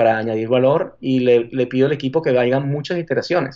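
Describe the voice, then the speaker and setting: A man with a Venezuelan accent speaks at a medium pitch in a dark, mellow tone. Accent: Venezuelan Spanish accent, kept. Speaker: marketing executive. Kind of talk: interview. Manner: halting.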